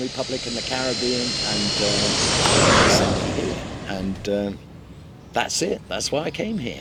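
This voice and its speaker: Lively intonation in a Mancunian accent at a fairly slow pace, with noticeable background noise. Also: man. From Manchester, England. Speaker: real estate agent. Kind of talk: casual chat.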